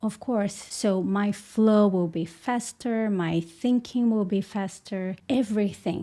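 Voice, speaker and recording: A woman with a Portuguese accent speaks very slowly in a medium pitch. Her tone is dark and mellow, and her intonation is fairly even. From Brazil. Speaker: English teacher. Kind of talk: tutorial.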